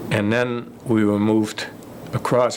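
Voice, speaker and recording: A man speaks in a monotone, flat intonation. Noticeable background noise runs underneath. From Germany. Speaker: war veteran. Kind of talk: interview. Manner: halting.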